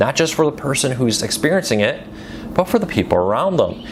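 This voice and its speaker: A man speaks with an American accent and lively intonation. Noticeable background noise is present. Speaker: news commentary host. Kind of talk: casual news commentary. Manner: conversational, some stumbles.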